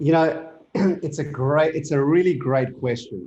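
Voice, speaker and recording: The voice belongs to a man, pitched fairly high. He speaks very slowly. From South Africa. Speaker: business founder and CEO. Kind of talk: interview. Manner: casual, many fillers and restarts.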